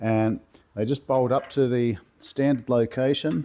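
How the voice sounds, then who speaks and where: Speaking at a medium pitch, a man talks in an Australian accent. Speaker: car builder, workshop video maker. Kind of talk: tutorial. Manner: casual, with fillers.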